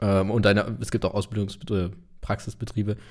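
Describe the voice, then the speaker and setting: Here a man talks at a moderate pace with a fairly low pitch. His tone is dark and mellow, and his intonation is monotone and flat. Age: 20s. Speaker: podcast host. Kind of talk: casual chat.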